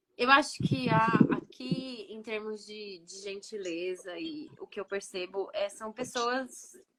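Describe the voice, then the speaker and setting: A woman speaks in a normal speaking voice, fairly high in pitch with lively intonation. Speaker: podcast co-host, immigrant mother. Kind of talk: casual chat.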